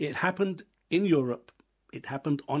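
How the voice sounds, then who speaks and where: Speaking with an English accent, a man uses a fairly high pitch. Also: quiet background. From England. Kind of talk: radio interview. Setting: studio.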